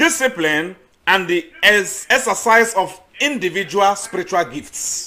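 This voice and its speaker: A man speaks in a raised, projected voice pitched high. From eastern Nigeria. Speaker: missionary and agricultural student. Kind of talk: sermon.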